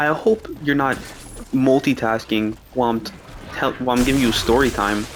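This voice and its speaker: Noticeable background noise sits behind a man speaking at a moderate pace. His voice has a medium pitch and ordinary pitch variation. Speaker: gaming streamer. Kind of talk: casual storytelling. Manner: soft-spoken.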